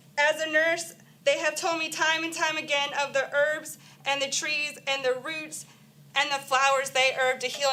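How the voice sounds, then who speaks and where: A woman with a high pitch speaks at a moderate pace in a raised, projected voice, her bright, sharp tone staying fairly even in intonation against audible room echo. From Florida, Miami-Dade. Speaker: nurse speaking at public comment. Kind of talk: public comment speech. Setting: county council meeting.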